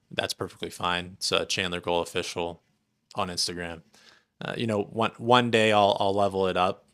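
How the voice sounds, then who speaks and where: This man has an ordinary speaking voice, a fairly low pitch and fairly even intonation, and he talks at a moderate pace. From US Midwest (rural Indiana). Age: 20s. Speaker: entrepreneur. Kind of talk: casual chat.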